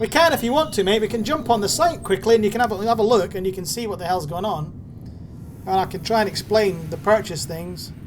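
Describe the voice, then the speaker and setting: Over noticeable background noise, the words come out at a very fast pace. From Scotland. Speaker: gaming streamer. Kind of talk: live gameplay stream commentary. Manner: casual, chatty.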